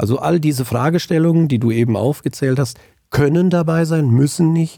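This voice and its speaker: Over a silent background in a very clean recording, a man speaks at a fairly quick pace with lively intonation and a dark, mellow tone. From Germany, central Hesse (Hinterland, Angelburg). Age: 50s. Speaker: auditor and tax advisor. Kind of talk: interview.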